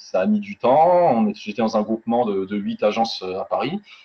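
A man's pitch swings very widely as he speaks over noticeable background noise. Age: 20s. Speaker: real estate negotiator and life annuity expert. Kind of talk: interview. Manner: casual.

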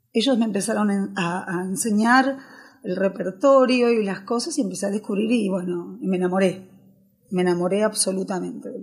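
A woman's somewhat breathy voice moves at a moderate pace, its pitch varying in an ordinary way. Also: medium pitch for a woman. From Argentina, raised from age 7 (born in Galicia, Spain). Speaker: tango fusion singer. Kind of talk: interview chat. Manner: animated.

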